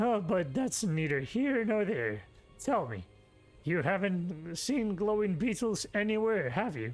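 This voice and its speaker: A man puts on a character voice pitched high. His pitch swings very widely. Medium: game stream. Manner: folksy, chuckling.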